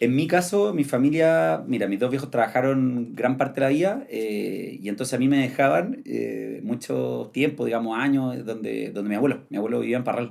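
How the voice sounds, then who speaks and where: A man speaks at a moderate pace with hardly any pauses. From Chile, Santiago. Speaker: traveler and content creator. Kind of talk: podcast interview. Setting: studio.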